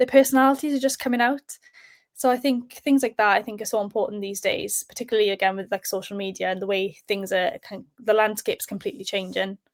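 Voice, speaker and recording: A woman with a South Welsh accent speaks at a very fast pace in a fairly high pitch, with ordinary pitch variation, her dry, close sound free of echo on a very clean recording with a silent background. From South Wales. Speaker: sports presenter. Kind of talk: podcast interview. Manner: hesitant, many fillers.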